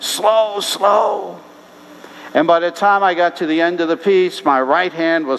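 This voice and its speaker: Noticeable background noise fills this clip. Through it comes a man with an American accent. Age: 70s. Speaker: priest. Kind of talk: sermon. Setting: church.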